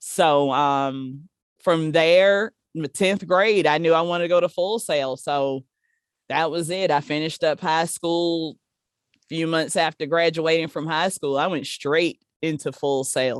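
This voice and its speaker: A woman with a South Carolina accent speaks at a fairly slow pace in a very deep, low voice, recorded dry and close with no echo against a silent background in a very clean recording. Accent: Southern US (South Carolina). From US South, small-town South Carolina. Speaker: live sound engineer. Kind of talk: interview. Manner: casual, conversational.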